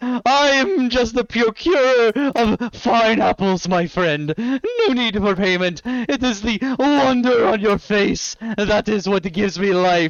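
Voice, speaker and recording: Putting on a character voice, a man cackles at a high pitch, moving at a fairly slow pace with hardly any pauses. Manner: manic, gleeful, cackling.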